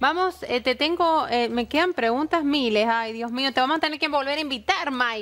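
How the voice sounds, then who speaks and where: Pitched high, a woman talks with hardly any pauses. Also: ordinary pitch variation, moderate pace. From Argentina. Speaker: TV show host. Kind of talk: interview. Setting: studio. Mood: warm, lively, playful. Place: studio.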